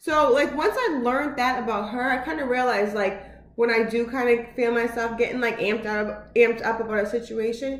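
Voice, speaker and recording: A loud, animated woman's voice at a fairly high pitch with hardly any pauses, amid audible room echo and noticeable background noise. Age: 30s. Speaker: vlogger. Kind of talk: casual vlog monologue. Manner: loud and animated; fast, with many filler words.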